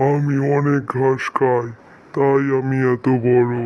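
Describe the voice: A cartoonish character voice speaks at a fairly slow pace. The intonation stays monotone and flat. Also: man, medium pitch for a man.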